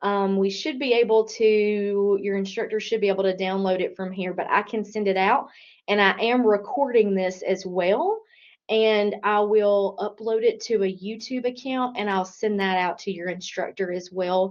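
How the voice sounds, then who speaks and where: At a moderate pace and with fairly even intonation, the speaker uses a normal speaking voice. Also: woman, medium pitch for a woman. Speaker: career services specialist. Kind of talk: online workshop presentation.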